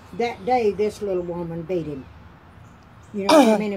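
With an Appalachian accent, a woman talks at a fairly quick pace. There is light background noise. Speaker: grandmother telling stories. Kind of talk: interview answer. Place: home room. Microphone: phone near.

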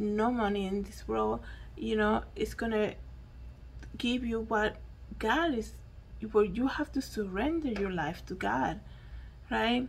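Against light background noise, a woman with a Spanish accent talks at a fairly slow pace. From Dominican Republic. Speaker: YouTuber and podcaster. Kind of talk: solo news commentary monologue. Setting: at home. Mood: earnest, reflective. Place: home room. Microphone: handheld.

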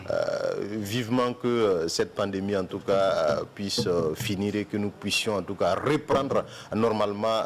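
A man at a fairly slow pace, with light background noise. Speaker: TV co-host. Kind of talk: casual chat. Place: studio.

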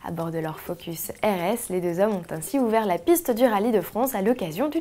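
A woman talks at a moderate pace in a medium-pitched voice with very wide pitch swings. Noticeable background noise is present. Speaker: video news presenter. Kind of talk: formal news reading, scripted bulletin. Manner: formal, steady, brisk newsreader delivery; even, polished, informative tone.

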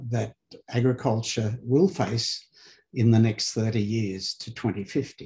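A man speaks at a very slow pace. His voice is somewhat breathy. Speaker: webinar host. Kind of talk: formal welcome address. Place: home room. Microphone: webcam.

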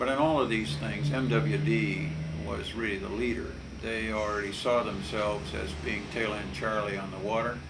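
A man with an American accent talks at a moderate pace with very wide pitch swings. Noticeable background noise runs underneath. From Southern California (Glendale); Southern California. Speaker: water lawyer. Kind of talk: oral history interview. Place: office.

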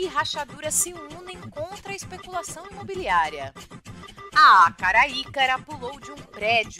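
Over music in the background, a woman speaks in a raised, projected voice at a high pitch and a fairly slow pace, with very wide pitch swings and big swings in loudness. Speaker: educator. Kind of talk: playful children's radio news read.

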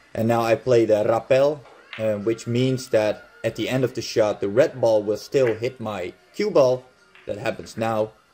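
With music in the background, a man with a Dutch accent and medium pitch speaks at a fairly slow pace with fairly even intonation. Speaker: billiards instructor. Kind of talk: game commentary tutorial.

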